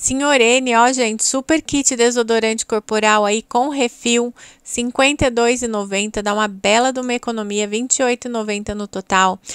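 A woman with a fairly high pitch talks at a fairly slow pace with hardly any pauses and fairly even intonation, the sound dry and close with no echo. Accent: Brazilian. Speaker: Natura consultant and YouTuber. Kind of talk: street-market pitchman style sales pitch, rattling off promo items and prices. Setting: video channel, recorded to camera. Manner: breathless price-list patter with repeated 'gente' and 'tá bom?'.

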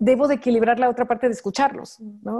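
A woman speaks with a Mexican accent in a dark, mellow tone. Her pitch is high for a woman, and the background is quiet. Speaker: fashion designer, entrepreneur; interview guest. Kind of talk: interview. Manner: fast; animated. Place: home room. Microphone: video call.

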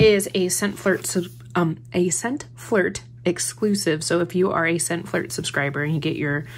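The voice is somewhat breathy, and its pitch swings very widely. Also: woman. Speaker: haul vlogger. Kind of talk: casual haul chat. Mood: cheerful, amused. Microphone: phone near.

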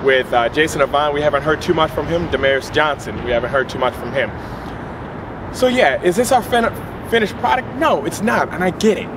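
An animated man speaks at a fairly quick pace with a fairly high pitch. His pitch swings very widely over noticeable background noise. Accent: American. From Philadelphia. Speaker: sports fan vlogger. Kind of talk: sports commentary monologue. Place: street. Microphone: camera far.

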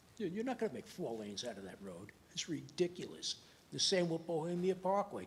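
A very fast-talking man with a high pitch and a New York accent. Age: 80s+. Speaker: resident speaking at public hearing. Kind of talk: public comment at planning board meeting. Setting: town planning board meeting.

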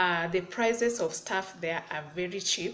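At a moderate pace, a woman speaks with ordinary pitch variation over light background noise. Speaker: vlogger. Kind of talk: casual vlog chat. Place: home room. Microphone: phone near.

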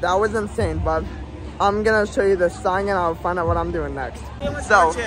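A man speaks in a dry room with no echo. Faint music plays behind him. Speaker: theme park vlogger. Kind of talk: casual vlog chat. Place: street. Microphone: phone near.

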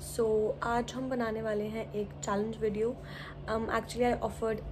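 There is light background noise behind this woman. She speaks at a moderate pace. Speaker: vlogger. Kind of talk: casual vlog chat.

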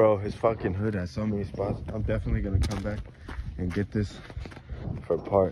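Against noticeable background noise, a man talks with a fairly low pitch. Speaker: skateboarding vlogger. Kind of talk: casual vlog narration. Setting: outdoors. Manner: animated.

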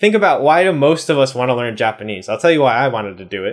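Against a quiet background, a man with an American accent talks with lively intonation. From US East Coast. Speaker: YouTuber, Japanese learner; language learning youtuber. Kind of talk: casual vlog talk to camera. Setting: home room in Japan. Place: home room.

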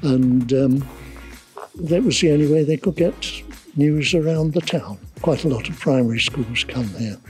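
A man speaks at a fairly high pitch and a moderate pace, with ordinary pitch variation and long, frequent pauses. The sound is dry with no echo, and faint music plays in the background. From England, Essex. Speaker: town crier. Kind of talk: interview answer. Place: street.

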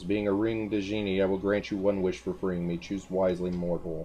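A booming, put-on character voice from a man, very deep and low, at a fairly quick pace over clear background noise

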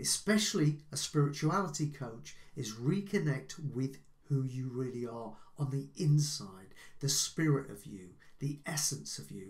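A somewhat breathy man at a fairly slow pace over a quiet background. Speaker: life coach. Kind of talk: advice talk to camera. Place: home room.

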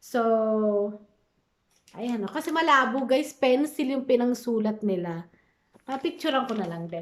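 Speaking at a fairly slow pace, a woman uses lively intonation in a high pitch. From Philippines. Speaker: vlogger and caregiver. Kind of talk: casual vlog.

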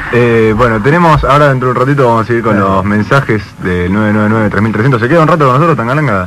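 A man at a very fast pace with hardly any pauses, very even loudness and ordinary pitch variation, over light background noise. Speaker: radio host. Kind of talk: radio interview. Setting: studio. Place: studio.

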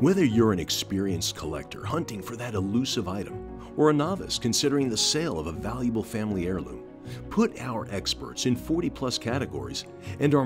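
Over background music, a man with a fairly low pitch talks at a fairly quick pace, his pitch swinging very widely. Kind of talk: corporate promotional voiceover.

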